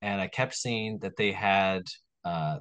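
With an American accent, a man with a fairly low pitch has an ordinary speaking voice and ordinary pitch variation. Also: quiet background. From New York, Long Island. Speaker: restaurant owner and podcast host. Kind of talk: casual chat.

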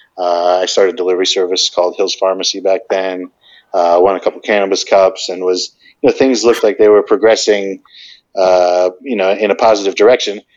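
A man with an American accent speaks at a fairly quick pace in a plain, everyday voice, his pitch fairly low and his intonation fairly even. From New Jersey. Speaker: cannabis entrepreneur. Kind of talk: podcast interview.

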